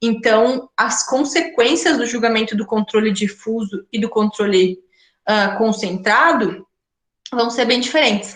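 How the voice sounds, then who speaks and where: A woman's fairly high voice at a fairly slow pace, a normal speaking voice with ordinary pitch variation. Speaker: law professor. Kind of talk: lecture.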